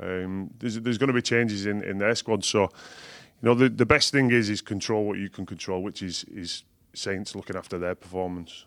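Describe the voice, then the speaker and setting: The recording is very clean, with a silent background. A man talks at a fairly quick pace with a fairly low pitch and fairly even intonation. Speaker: rugby league coach, former player. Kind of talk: casual sports chat.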